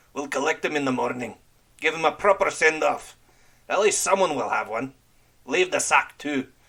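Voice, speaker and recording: A man's put-on character voice, growling and fairly high-pitched, at a moderate pace broken by long, frequent pauses. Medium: read story. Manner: growling, curt.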